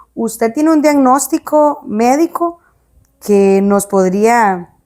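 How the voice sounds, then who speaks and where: Her tone dark and mellow, a woman speaks at a fairly high pitch with lively intonation. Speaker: podcast host. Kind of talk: interview.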